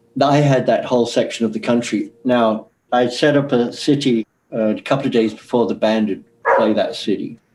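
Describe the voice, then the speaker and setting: In an English accent, a man speaks at medium pitch and a moderate pace. His intonation stays fairly even. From England. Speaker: former record promotion man. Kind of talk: interview recollection.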